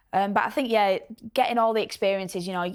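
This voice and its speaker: The recording is very clean, with a silent background. A woman speaks at medium pitch with fairly even intonation. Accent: strong Yorkshire. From northern England, Bradford. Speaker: professional footballer. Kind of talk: casual chat. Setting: studio.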